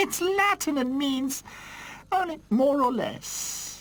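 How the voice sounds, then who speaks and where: A woman's cartoonish character voice, high-pitched and very slow. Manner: gossiping, scornful.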